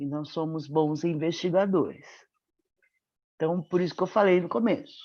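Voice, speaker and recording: Against a quiet background, a woman with a dark, mellow tone and fairly low pitch speaks with ordinary pitch variation and long, frequent pauses. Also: moderate pace. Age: 60s. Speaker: medical professor and mentor. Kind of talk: webinar testimony.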